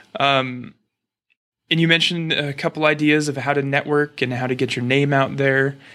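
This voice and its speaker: With an American accent, a man speaks at a moderate pace in a bright, sharp tone with fairly even intonation. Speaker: podcast host; chiropractic student. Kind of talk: interview.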